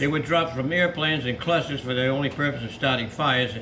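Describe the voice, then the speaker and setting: Over noticeable background noise and audible room echo, a man speaks fairly quickly at a medium pitch with ordinary pitch variation. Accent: American. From Massachusetts (Millis). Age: 90s. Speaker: war veteran. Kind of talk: reading aloud; casual chat. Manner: halting.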